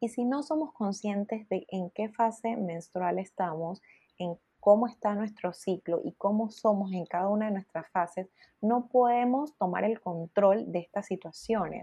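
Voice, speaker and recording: Somewhat breathy, a woman speaks fairly slowly at a medium pitch with ordinary variation, the sound dry and close with no echo. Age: 20s. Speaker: menstrual health educator. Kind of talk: casual chat.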